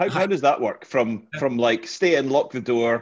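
Against a quiet background, a man with a fairly high pitch and an ordinary speaking voice talks at a fairly slow pace with ordinary pitch variation. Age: 50s. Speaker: podcast host, interviewer. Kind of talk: casual chat, interview.

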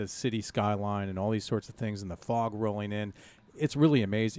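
Using a plain, everyday voice, a man with an American accent and fairly low pitch speaks with fairly even intonation in a very clean recording with a silent background. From Iowa, US Midwest (Dubuque). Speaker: local history advocate. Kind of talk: casual interview chat.

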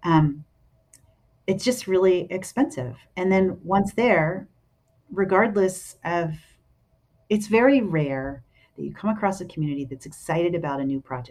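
Lively intonation carries this speech in an American accent at a moderate pace. The recording is very clean, with a silent background. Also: woman, fairly low pitch for a woman. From Philadelphia, US. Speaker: affordable housing executive. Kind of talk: interview. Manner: hesitant, many ums.

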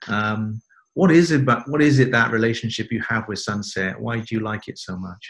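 With a British accent, a man of medium pitch speaks at a moderate pace, showing ordinary pitch variation and big swings in loudness. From UK. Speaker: podcast host. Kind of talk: casual interview.

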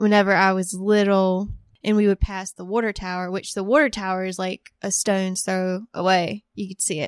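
In an American accent, a woman with a plain, everyday voice speaks at medium pitch and a moderate pace with fairly even intonation, recorded very cleanly against a silent background, dry and close with no echo. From US South, rural northeastern North Carolina. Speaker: creative writer. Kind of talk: interview.

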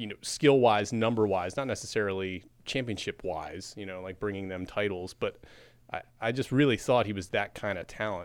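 A man speaks at a moderate pace and a fairly low pitch, with ordinary pitch variation, in a normal speaking voice. His loudness swings widely, and the recording is very clean with a silent background. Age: 40s. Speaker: newspaper sports editor. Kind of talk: casual chat.

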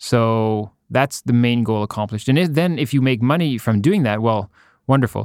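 In a dry, close sound with no echo, a man uses a normal speaking voice at medium pitch and a moderate pace, with ordinary pitch variation. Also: very clean recording, silent background. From Ottawa, Canada. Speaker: painter. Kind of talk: casual interview.

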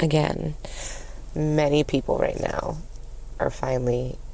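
A woman's fairly slow speech carries an audible echo from the room. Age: 30s. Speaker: podcast host. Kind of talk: casual monologue. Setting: in a car or driveway.

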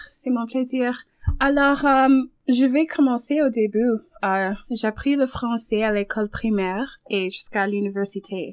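Delivery moves at a moderate pace with ordinary pitch variation. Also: woman, high pitch for a woman. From Toronto, Canada. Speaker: French language teacher. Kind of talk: interview.

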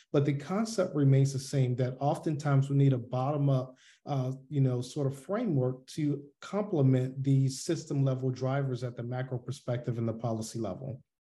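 In an American accent, a man talks at a moderate pace with hardly any pauses, his medium-pitched voice somewhat breathy and dark and mellow in tone, with ordinary pitch variation. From US South, Atlanta, Georgia. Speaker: army veteran and public health physician. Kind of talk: interview. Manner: halting, many fillers.

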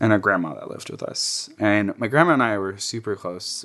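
Against a quiet background, a man with an American accent and an unremarkable speaking voice speaks at a fairly low pitch and a moderate pace. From New Jersey, Jersey City. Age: 20s. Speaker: interviewee sharing personal history. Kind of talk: oral history interview, casual storytelling. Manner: casual, heavy use of filler like.

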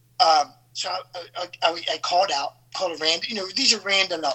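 Noticeable background noise sits behind a man speaking at a moderate pace in a high pitch. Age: 50s. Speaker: actor. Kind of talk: casual chat.

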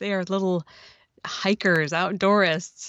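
A woman with an unremarkable speaking voice talks at medium pitch in an American accent. Her intonation is lively and her pace fairly slow. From Oregon. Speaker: podcaster and children's book author. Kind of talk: casual chat.

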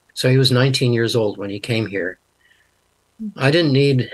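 An ordinary speaking voice from a man at a moderate pace. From Canada. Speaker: linguist and Bible translator. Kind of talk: interview.

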